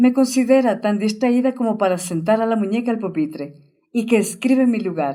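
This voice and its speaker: A woman's fairly high voice, dark and mellow in tone, with lively intonation at a fairly slow pace. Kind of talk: audiobook narration.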